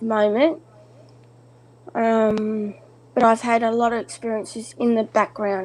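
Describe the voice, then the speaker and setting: Her pitch fairly high, a woman with an Australian accent speaks at a moderate pace with fairly even intonation. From Australia, Newcastle area. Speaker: caller. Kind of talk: casual chat.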